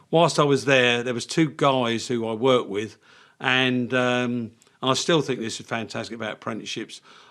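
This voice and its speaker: Here is a man with a southern English accent, a medium pitch and fairly even intonation. He speaks at a moderate pace on a very clean recording with a silent background. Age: 70s. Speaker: engineering business owner. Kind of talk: podcast interview.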